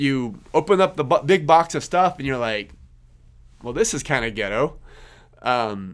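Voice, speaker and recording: In a slight Kansas accent, the speaker talks at a moderate pace with very wide pitch swings, on a very clean recording with a silent background. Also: man. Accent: slight Kansas twang. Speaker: podcast host, accountant. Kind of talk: casual podcast talk. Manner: many fillers and repetitions.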